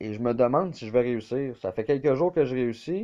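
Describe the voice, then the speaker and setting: A medium-pitched man with a Quebec accent, at a moderate pace with lively intonation. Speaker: video game YouTuber. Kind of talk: gameplay commentary. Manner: casual, hesitant with fillers.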